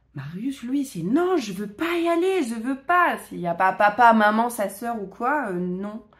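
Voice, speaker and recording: The delivery is very slow, with very wide pitch swings. There are hardly any pauses. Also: woman, fairly high pitch for a woman. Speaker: vlogger. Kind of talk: casual vlog talk. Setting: at home, filming herself. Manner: hesitant, many fillers.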